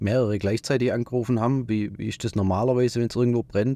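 A man's voice with ordinary pitch variation on a very clean recording with a silent background. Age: 30s. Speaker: tradesman, business owner. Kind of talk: casual chat. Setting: studio. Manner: hesitant, many fillers.

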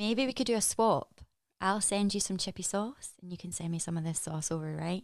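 A woman speaks with a Scottish accent. Her pace is fairly quick. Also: medium pitch for a woman, ordinary pitch variation. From Scotland. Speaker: actress. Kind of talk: casual chat. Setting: video call.

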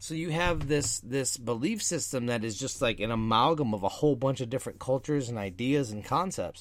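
In an animated tone with lively intonation, a man of medium pitch speaks with hardly any pauses. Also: fairly quick pace. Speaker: podcast host. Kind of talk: casual chat podcast. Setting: online live stream. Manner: rambling, disfluent, animated.

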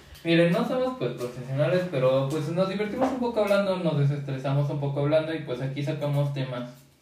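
Speaking very fast with hardly any pauses, a man uses lively intonation at a fairly high pitch, with noticeable background noise and audible room echo. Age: young. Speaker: podcast co-host. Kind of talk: casual chat.

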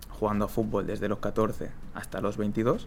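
A man's voice at a medium pitch. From Spain. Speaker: street footballer. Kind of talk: interview. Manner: casual.

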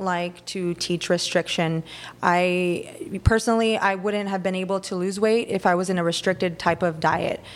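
An unremarkable speaking voice with an American accent moves at a moderate pace and fairly even intonation in a very clean recording with a silent background. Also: woman. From Texas, Rio Grande Valley. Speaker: family nurse practitioner and business owner. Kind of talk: casual interview chat.

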